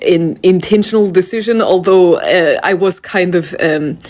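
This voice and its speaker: Someone speaks at a fairly slow pace with a Russian accent. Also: woman. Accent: mild Russian. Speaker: video creator. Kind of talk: casual, hesitant with many fillers.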